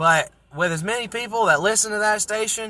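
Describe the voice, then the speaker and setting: A man's raised, projected voice, animated and bright, sharp in tone, ordinary pitch variation, very clean recording with a silent background. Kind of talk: casual monologue rant. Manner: loud.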